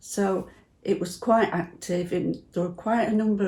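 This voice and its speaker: Somewhat breathy, a woman's voice has a dark, mellow tone, medium pitch with ordinary variation, and a moderate pace. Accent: Potteries. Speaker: church member. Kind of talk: personal reminiscence interview.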